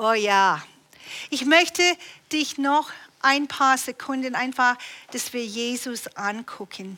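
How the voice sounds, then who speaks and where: Very slowly, a woman projects a raised, high voice with a bright, sharp tone and ordinary pitch variation. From Canada. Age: 60s. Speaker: preacher. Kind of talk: sermon. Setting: church.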